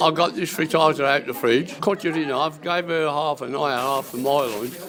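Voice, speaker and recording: Over noticeable background noise, a man speaks at a moderate pace with a fairly high pitch and ordinary pitch variation. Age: 70s. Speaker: cooking class participant. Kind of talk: radio interview.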